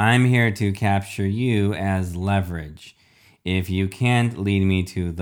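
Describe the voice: The recording is plain reading aloud. Nothing more is added to the delivery.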